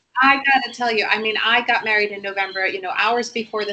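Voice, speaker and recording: Against noticeable background noise, a woman speaks at a very fast pace with ordinary pitch variation. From Puerto Rico. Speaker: bank trader and small business owner. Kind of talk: casual chat.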